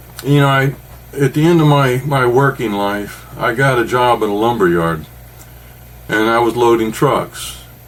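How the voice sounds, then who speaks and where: Noticeable background noise sits behind a man of medium pitch who talks at a moderate pace with lively intonation. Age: 60s. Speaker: podcast co-host. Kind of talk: casual chat. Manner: animated.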